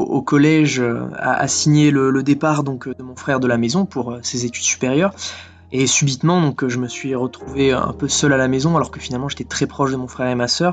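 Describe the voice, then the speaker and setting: Over background music, a man speaks at medium pitch and a moderate pace. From French Alps (Villard-de-Lans). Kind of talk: testimony. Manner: halting, with many fillers and repetitions.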